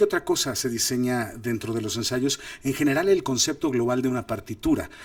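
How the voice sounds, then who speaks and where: This man has a medium-pitched voice. He talks at a fairly quick pace. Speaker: film director and acting coach. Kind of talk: lecture. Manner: animated.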